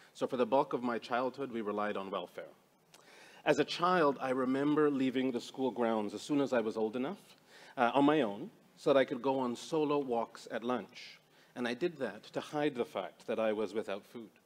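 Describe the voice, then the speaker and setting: With ordinary pitch variation, the man keeps to a moderate pace. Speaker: speaker. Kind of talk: panel presentation, personal story. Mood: earnest, reflective. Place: hall.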